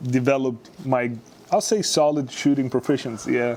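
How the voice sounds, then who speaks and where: A man speaks with a Serbian accent at a medium pitch. His pace is moderate and his intonation fairly even. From Serbia, Novi Sad. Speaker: sports scientist and former basketball player. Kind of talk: interview. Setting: studio. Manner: hesitant, many fillers.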